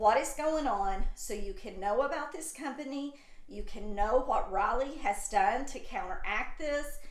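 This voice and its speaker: A woman's high-pitched voice with very wide pitch swings at a fairly slow pace, amid audible room echo and noticeable background noise. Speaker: YouTube channel host. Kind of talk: casual commentary video. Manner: stuttering.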